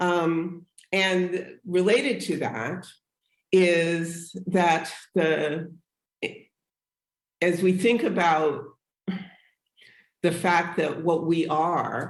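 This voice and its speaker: A woman's fairly low voice at a very slow pace, with long, frequent pauses, fairly even intonation and audible room echo. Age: 70s. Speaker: abolitionist scholar and activist. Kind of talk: panel conversation. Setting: live broadcast, remote.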